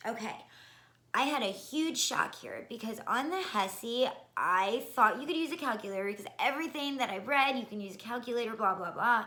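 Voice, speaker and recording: With lively intonation and a fairly high pitch, a woman talks at a fairly quick pace amid audible room echo. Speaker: nursing school applicant. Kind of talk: casual vlog advice. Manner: fast.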